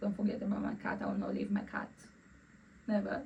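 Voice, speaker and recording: A woman speaks with a Romanian accent at a medium pitch, her voice somewhat breathy. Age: 20s. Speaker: vlogger. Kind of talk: casual personal vlog. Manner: halting, repeats words.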